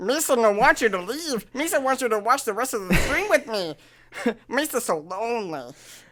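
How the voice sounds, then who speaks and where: A female-sounding voice uses a put-on character voice at a fairly high pitch for a woman. The pace is moderate. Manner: goofy.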